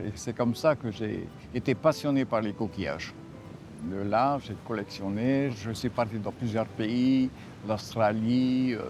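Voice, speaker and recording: With music in the background, a man of medium pitch speaks at a fairly slow pace. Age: 80s+. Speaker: shell collector. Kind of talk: interview.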